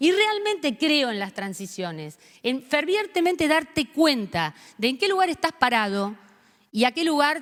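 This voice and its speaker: A woman speaks at a fairly slow pace in an animated tone. Her pitch swings very widely. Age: 60s. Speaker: panelist at a forum. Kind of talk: forum speech.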